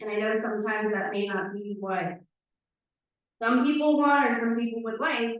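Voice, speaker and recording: A woman speaks in a normal speaking voice at a fairly high pitch. She has an American accent and keeps a moderate pace. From Windermere, Florida. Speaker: town council candidate. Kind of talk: candidate speech at a public forum. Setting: town hall forum with audience.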